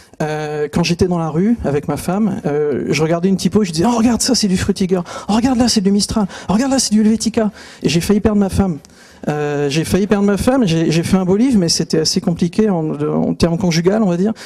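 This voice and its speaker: A man talks at a very fast pace with a high pitch and ordinary pitch variation. Background noise is noticeable. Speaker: typography author and speaker. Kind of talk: conference talk. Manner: hesitant, many fillers.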